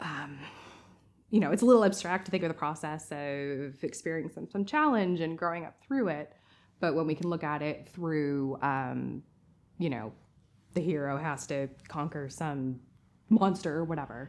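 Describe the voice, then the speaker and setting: A woman with a slight American accent speaks at a moderate pace in a very deep, low pitch with ordinary pitch variation, on a very clean recording with a silent background. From US, Massachusetts. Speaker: artist. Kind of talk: interview. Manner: casual.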